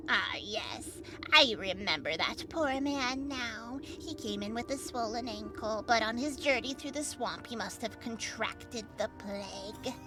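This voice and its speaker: A woman does a put-on character voice, high-pitched, at a fairly slow pace with hardly any pauses, over loud background music. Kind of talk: voiced game dialogue. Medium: virtual streamer. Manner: brisk, condescending.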